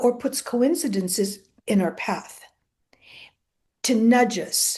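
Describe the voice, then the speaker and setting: Her voice is high-pitched, with a dark, mellow tone. The woman speaks at a very slow pace with ordinary pitch variation. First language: Greek. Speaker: author and therapist. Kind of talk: interview.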